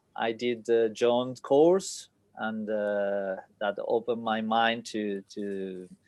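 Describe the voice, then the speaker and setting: A man in a Spanish accent, medium-pitched and fairly even in intonation, at a very slow pace. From Spain. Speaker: sake importer and distributor. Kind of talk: casual chat. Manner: halting, many fillers.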